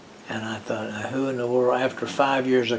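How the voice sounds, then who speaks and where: A man's speech carries audible room echo, with noticeable noise in the background. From West Virginia. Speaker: retired former college football player. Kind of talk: oral history interview. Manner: halting.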